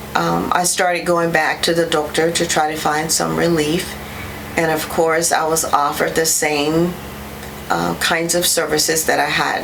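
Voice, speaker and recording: A woman talks at a moderate pace with very even loudness. There is audible room echo and noticeable background noise. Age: 60s. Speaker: patient giving testimonial. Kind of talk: testimony. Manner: hesitant with many fillers.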